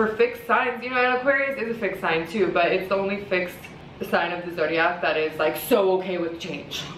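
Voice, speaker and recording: A woman talks at a fairly quick pace and medium pitch with ordinary variation, amid noticeable background noise and audible room echo. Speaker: astrologer and tarot reader. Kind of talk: casual monologue vlog. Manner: fast, rambling with fillers.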